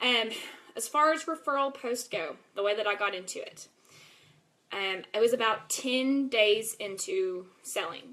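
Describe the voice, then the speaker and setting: Speaking with a Texas accent, a woman talks at a fairly slow pace with lively intonation. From East Texas (Longview). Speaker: network marketing seller. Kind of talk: live video presentation. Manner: casual, filler-heavy.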